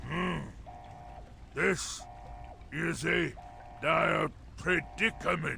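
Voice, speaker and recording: A man uses a raspy, put-on character voice at a very slow pace. Long, frequent pauses break up his speech over clear background noise. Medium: video game. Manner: formal, measured.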